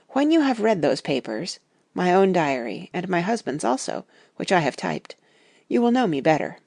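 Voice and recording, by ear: A woman's put-on character voice, fairly low in pitch and slightly mellow, with vocal fry, big pitch swings and a moderate pace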